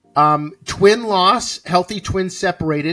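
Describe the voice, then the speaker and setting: A man speaks with music playing in the background. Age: 60s. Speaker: podcast co-host. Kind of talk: casual planning chat.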